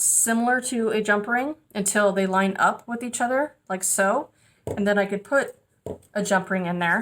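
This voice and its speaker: A woman uses a plain, everyday voice, medium in pitch, with ordinary pitch variation, speaking at a moderate pace. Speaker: metalsmithing teacher. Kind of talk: tutorial.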